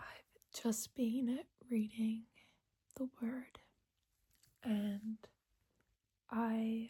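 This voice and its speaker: Long, frequent pauses in a very slow, soft-spoken delivery. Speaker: ASMR creator. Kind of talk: casual talk to camera.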